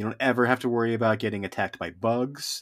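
Recorded very cleanly over a silent background, a man of medium pitch speaks with a Western US accent. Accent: General American (western US). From Reno, Nevada, US West. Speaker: podcast co-host, backpacker. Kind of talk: casual chat.

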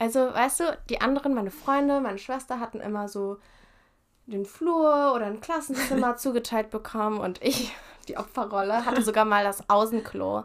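At a moderate pace, a woman with a fairly high pitch talks in a normal speaking voice. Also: ordinary pitch variation. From Japan (Tokyo) and Germany. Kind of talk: casual chat.

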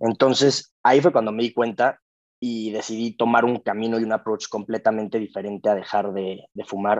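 A man talks in an unremarkable speaking voice at medium pitch and a moderate pace. His intonation is fairly even, and the sound is dry and close with no echo. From Mexico. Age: 20s. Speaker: podcast guest sharing recovery story. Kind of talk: casual interview, personal testimony.

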